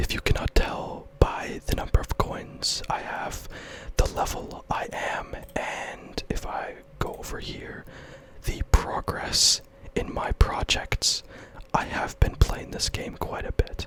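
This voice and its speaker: Very slow whispering with noticeable noise behind it. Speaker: ASMR gaming content creator. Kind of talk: casual gaming commentary, soft-spoken ASMR talk to camera. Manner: soft-spoken, whispering.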